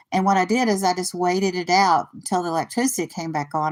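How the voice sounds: A woman with a fairly low pitch, talking at a moderate pace.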